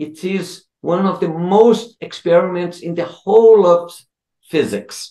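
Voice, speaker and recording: A man with a Portuguese accent speaks in a high voice with a dark, mellow tone and fairly even intonation. His pace is fairly slow, the background is quiet, and there is audible room echo. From Brazil. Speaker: physics professor. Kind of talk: interview. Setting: video call. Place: home room. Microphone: video call.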